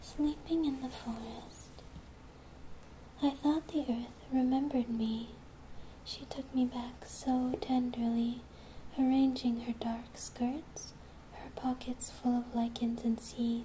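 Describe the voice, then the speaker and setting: Long, frequent pauses break up a soft-spoken whisper delivered at a very slow pace. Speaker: ASMR creator. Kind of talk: ASMR poetry reading. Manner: soft-spoken, whispered.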